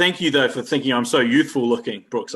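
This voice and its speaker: A man speaks at a medium pitch with a New Zealand accent. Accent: New Zealand, noticeable. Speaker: university career development staff. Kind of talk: casual chat.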